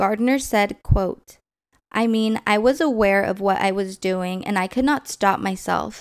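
On a very clean recording with a silent background, a woman with a plain, everyday voice and medium pitch speaks at a fairly slow pace with ordinary pitch variation. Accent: American. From Southern California. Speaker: true crime podcast host. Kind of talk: true-crime narration, solemn and scripted-sounding, reading case facts. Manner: serious; measured, even pace.

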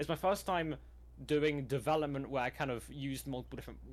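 A man with a British accent talks at a very fast pace on a very clean recording with a silent background. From Britain. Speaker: event organizer and video editor. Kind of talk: casual interview chat.

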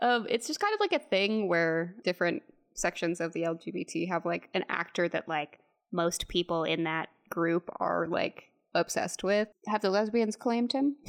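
With an American accent, a woman speaks at a moderate pace in an unremarkable speaking voice, her medium pitch carried by lively intonation. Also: dry, close sound with no echo. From Texas. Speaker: podcast co-host. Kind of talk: casual chat, movie review.

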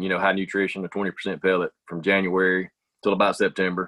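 A man with a Southern US accent talks at a fairly quick pace in a monotone, flat delivery. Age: 40s. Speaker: business owner. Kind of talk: casual chat.

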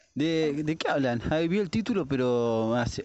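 A man speaks with a Rioplatense accent. His pace is moderate and his pitch variation ordinary. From Argentina. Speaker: listener sending voice messages. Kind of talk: voice message.

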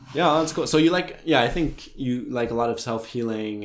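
Lively intonation marks this man's ordinary speaking voice, with an American accent. His pitch is medium and his pace fairly quick. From United States. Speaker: podcast co-host. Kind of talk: casual chat.

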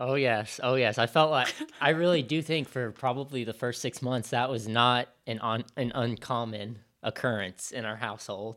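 This man has a plain, everyday voice at a medium pitch. He speaks at a moderate pace in a very clean recording with a silent background. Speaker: loan officer. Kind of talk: casual chat. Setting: video recording.

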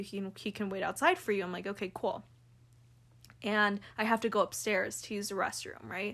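In a very clean recording with a silent background, a woman with an American accent uses a normal speaking voice at a medium pitch and a fairly quick pace. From California. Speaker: podcast co-host. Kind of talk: casual chat.

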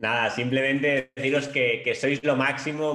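A man's voice sits at a medium pitch, delivered in a monotone with flat intonation. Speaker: network marketing team leader. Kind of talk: motivational talk.

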